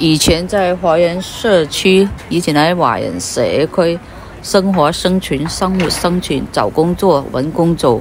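Speech comes at a very slow pace in a dry sound with no echo, over light background noise. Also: woman, fairly low pitch for a woman, ordinary pitch variation. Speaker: vlogger. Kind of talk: casual vlog chat. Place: street. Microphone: phone near.

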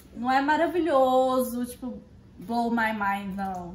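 A high-pitched woman with lively intonation at a very slow pace, in audible room echo. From Minas Gerais, Brazil. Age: 20s. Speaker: vlogger. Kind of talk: casual talk to camera, food tasting. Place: kitchen. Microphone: phone near.

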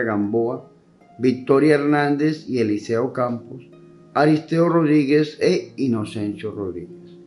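Faint music plays in the background. A man speaks very slowly, with ordinary pitch variation. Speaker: priest. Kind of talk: reading mass intentions. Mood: calm, solemn. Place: church.

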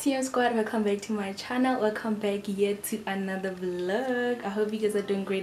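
With clear music in the background, a woman talks at a moderate pace using fairly even intonation. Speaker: vlogger. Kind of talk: casual vlog chat. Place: home room. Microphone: phone near.

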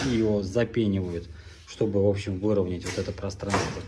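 A man talks here. Noticeable background noise can be heard under him. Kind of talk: tutorial. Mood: ironic, critical. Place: home room. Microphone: phone near.

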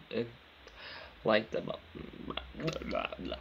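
A man talks at a fairly slow pace. Behind him, background noise is noticeable. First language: not English. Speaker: gaming youtuber. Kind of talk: tutorial. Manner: halting.

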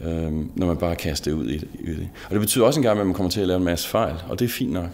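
Ordinary ups and downs in pitch come with a fairly quick tempo. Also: man. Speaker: interviewee. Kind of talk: interview answer. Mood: warm, smiling, reflective. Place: studio.

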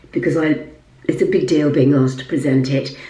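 Audible room echo carries a woman's very deep, low voice. She speaks at a fairly quick pace. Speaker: lifestyle vlogger and presenter; lifestyle vlogger. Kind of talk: casual vlog talk. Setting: at home in apartment. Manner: quiet, voice kept down. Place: bathroom. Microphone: phone near.

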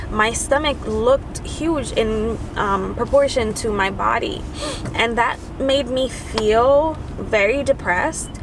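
Noticeable background noise behind a woman speaking with ordinary pitch variation. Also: dry sound with no echo. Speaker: mother vlogger. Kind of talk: casual vlog chat. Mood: earnest, personal, a bit emotional. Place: car.

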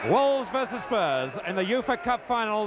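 A man speaks with lively intonation, the sound dry with no echo, against noticeable background noise. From England. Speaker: sports commentator. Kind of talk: live football match commentary. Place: stadium. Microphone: handheld.

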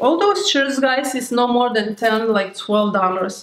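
A woman's high-pitched voice with lively intonation and a slight Lithuanian accent, at a very slow pace, amid light background noise and audible room echo. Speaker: beauty YouTuber; haul vlogger. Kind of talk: haul video. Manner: animated. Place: home room.

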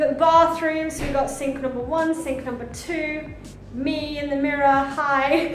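A woman speaks at a moderate pace in a high pitch with monotone, flat intonation. There is audible room echo and light background noise. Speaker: travel vlogger. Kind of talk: casual vlog chat. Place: home room. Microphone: phone near.

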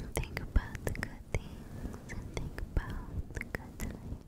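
The speech is whispered and fairly slow. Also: woman. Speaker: ASMR creator. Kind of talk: ASMR girlfriend roleplay, sleep help. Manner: whispered, soft, slow. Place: home room. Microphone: studio mic.

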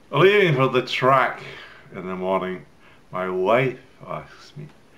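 This is a man speaking. His pace is fairly slow. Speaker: poetry reader. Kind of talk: poetry reading. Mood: wry, relaxed, theatrical. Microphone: webcam.

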